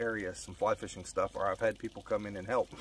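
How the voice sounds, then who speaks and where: The recording of a man with an American accent sounds dry, with no echo. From Colorado. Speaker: fly fishing youtuber. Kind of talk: casual vlog monologue. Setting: outdoors by a pond. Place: waterside. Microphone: phone near.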